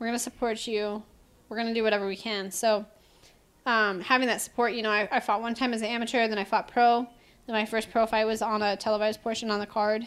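A woman with an American accent talks at a very fast pace and a fairly high pitch. Her intonation is monotone and flat, and the recording is very clean with a silent background. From Wisconsin, US Midwest. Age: 20s. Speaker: professional mixed martial artist. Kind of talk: casual interview chat. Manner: fast, filler-heavy.

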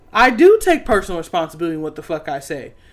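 An animated tone at a fairly quick pace on a very clean recording with a silent background. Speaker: podcast co-host and poet. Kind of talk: casual banter, heated rant. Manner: animated, profane.

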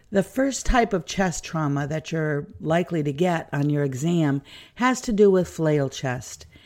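Captured on a very clean recording with a silent background, the voice moves at a fairly slow pace. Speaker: nurse educator. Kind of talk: lecture. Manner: informal and friendly.

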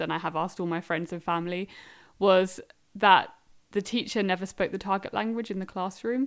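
A woman with an English accent speaks at a fairly quick pace and fairly low pitch. The recording is very clean with a silent background. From England. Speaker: language learner. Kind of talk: interview.

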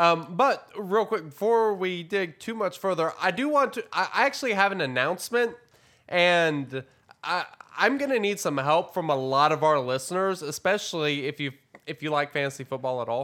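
A man speaks in a high voice with very wide pitch swings at a moderate pace. His tone is bright and sharp, and the recording is very clean with a silent background. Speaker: gaming podcast co-host. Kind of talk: casual chat. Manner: energetic.

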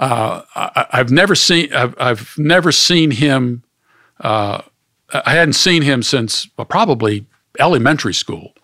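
An American accent comes through with a bright, sharp tone. The pace is fairly slow and the intonation lively. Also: man, fairly high pitch for a man. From Pittsburgh, Pennsylvania. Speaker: author and theologian. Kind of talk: personal testimony. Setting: studio. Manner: halting.

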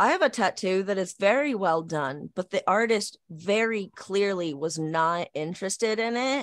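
A woman with an American accent at medium pitch, an ordinary speaking voice with ordinary pitch variation, on a very clean recording with a silent background. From Portland, Oregon. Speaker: tattoo artist. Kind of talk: casual chat.

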